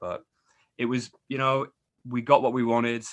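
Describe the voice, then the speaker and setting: Very fast speech comes from a man. Behind him, all is quiet. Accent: English. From northern England, York. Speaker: travel blogger and scientist. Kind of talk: casual interview.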